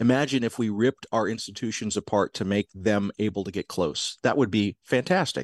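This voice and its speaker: A man speaks in a plain, everyday voice with an American accent, fairly low in pitch with ordinary pitch variation and a fairly quick pace. The background is quiet, and the sound is dry and close with no echo. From US South, South Georgia. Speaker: podcast producer and professor of spirituality. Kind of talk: interview conversation.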